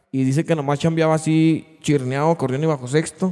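A man speaks at a fairly quick pace with a fairly high pitch. His tone is dark and mellow, and the background is quiet. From Mexico, Durango. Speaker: podcast host and musician; podcast host. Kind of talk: casual chat. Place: studio. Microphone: studio mic.

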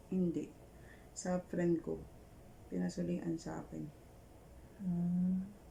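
Taking long, frequent pauses, a woman speaks at a very slow pace. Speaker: microblading artist. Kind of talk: casual chat. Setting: hotel room.

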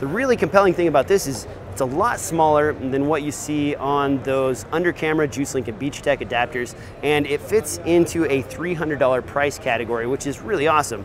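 The sound is dry with no echo, though noticeable background noise is present. A man talks at a fairly quick pace. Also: ordinary pitch variation. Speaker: video gear reviewer. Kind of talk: product review commentary. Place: hall.

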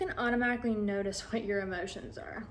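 Soft-spoken, a woman talks at a moderate pace over light background noise. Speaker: social media content creator; ASMR creator. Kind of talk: ASMR sleep video, softly spoken chat. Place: home room.

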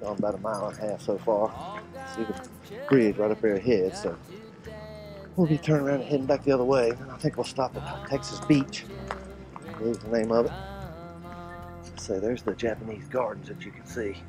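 Clear music plays behind a man talking at a fairly quick pace. The sound is dry, with no echo. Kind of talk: casual vlog chat. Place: open country. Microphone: phone near.

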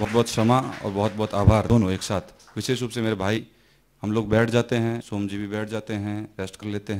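A man talks at a fairly low pitch and moderate pace. His intonation is monotone and flat. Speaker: workshop participant. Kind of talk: feedback sharing at a workshop. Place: hall.

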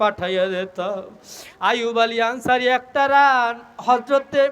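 Extremely high in pitch, this man's voice has a bright, sharp tone. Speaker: Islamic preacher. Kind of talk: sermon. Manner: animated.

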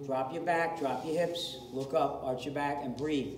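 Noticeable background noise fills the recording. A male voice talks over it. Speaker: fitness coach. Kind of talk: workout class instruction. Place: gym. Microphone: camera far.

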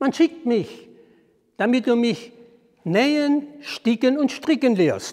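Against a quiet background, a man with an extremely high pitch and a warm tone speaks very slowly with lively intonation and long, frequent pauses. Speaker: storyteller. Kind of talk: fairy tale storytelling. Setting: outdoors at a historic well. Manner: measured, formal storyteller's cadence, calm and deliberate; warm, inviting address to the audience. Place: church. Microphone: lapel.

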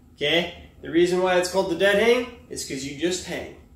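A man speaks with audible room echo around his voice. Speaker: fitness coach. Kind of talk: tutorial. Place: gym. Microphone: camera far.

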